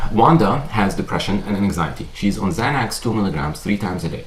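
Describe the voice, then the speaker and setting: A man with a non-native accent speaks at a very fast pace. Audible room echo and noticeable background noise surround him. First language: not English. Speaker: psychiatrist. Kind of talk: lecture. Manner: conversational, with frequent fillers.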